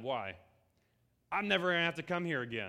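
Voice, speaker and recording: A man speaks in an animated tone at a very fast pace. His pitch variation is ordinary. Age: 20s. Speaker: youth pastor. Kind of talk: sermon.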